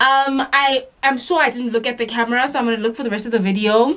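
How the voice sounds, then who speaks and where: With noticeable background noise around her, a woman speaks fairly quickly, her fairly high voice showing ordinary pitch variation. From South Africa. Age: 20s. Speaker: beauty youtuber. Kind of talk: makeup tutorial vlog. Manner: casual, chatty.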